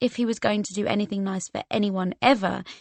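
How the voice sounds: The intonation is fairly even in this natural reading voice.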